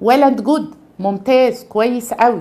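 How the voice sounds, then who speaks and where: A woman's high-pitched voice with a dark, mellow tone, lively intonation and an Egyptian accent, at a very slow pace. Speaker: pediatrics professor and chest allergy consultant; pediatrics professor. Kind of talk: medical tutorial. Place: office.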